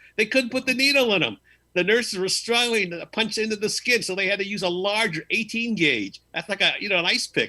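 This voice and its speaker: Raised and projected, a man's high-pitched voice carries a bright, sharp tone, with ordinary pitch variation and a fairly quick pace. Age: 70s. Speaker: call-in panelist. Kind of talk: casual chat.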